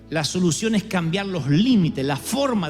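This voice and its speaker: Over music in the background, a man with a high pitch speaks with very wide pitch swings. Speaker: preacher, pastor. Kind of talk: sermon, preaching to a congregation.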